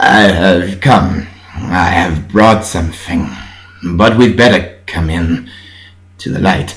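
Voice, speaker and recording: A strained, put-on character voice from a man, very deep and low, fairly slow with long, frequent pauses, ordinary pitch variation and audible echo. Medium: read story. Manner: strained, halting.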